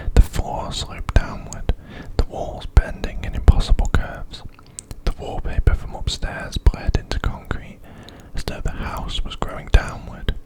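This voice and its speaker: Someone speaks in a whisper. Noticeable background noise can be heard. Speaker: ASMR creator. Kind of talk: horror story narration. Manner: soft, slow, whispered.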